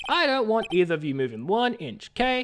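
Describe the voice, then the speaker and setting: Using a gruff, put-on character voice, a man talks at a fairly quick pace in a high pitch with very wide pitch swings. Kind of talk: authoritative. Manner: derpy, gruff.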